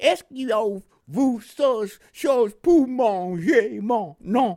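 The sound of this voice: In a Southern US accent, this put-on character voice speaks at a very slow pace with a fairly high pitch. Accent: Southern American accent speaking French.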